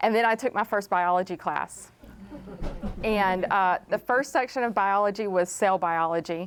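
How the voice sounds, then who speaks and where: A woman with a Southern US accent speaks at a moderate pace and medium pitch, with ordinary pitch variation and very even loudness. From East Texas. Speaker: chemist. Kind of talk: panel talk telling life story. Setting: library talk with audience.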